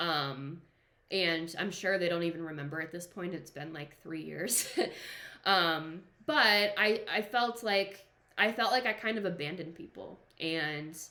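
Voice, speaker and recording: Using an ordinary speaking voice with an American accent, a woman speaks at a fairly slow pace and fairly low pitch, with ordinary pitch variation and big swings in loudness. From Boston, Massachusetts. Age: 20s. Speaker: entrepreneur. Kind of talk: casual talk to camera.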